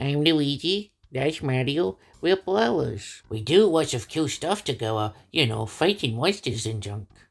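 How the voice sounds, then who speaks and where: In a put-on character voice, a man speaks fairly high at a moderate pace with hardly any pauses, on a very clean recording with a silent background. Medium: dub. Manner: casual, self-deprecating.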